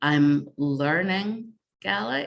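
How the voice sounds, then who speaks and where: A woman's voice in a northeast Scottish accent, with ordinary pitch variation. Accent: northeast Scottish (Doric). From northeast Scotland. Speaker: games researcher and game jam organiser. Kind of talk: conference presentation.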